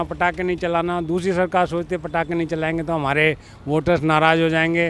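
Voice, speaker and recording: This man's voice is high-pitched and stays monotone and flat. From Delhi. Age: 60s. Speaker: street interviewee. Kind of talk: street interview.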